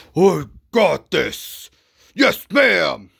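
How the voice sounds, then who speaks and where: A man uses a raspy, put-on character voice. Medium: solo performance.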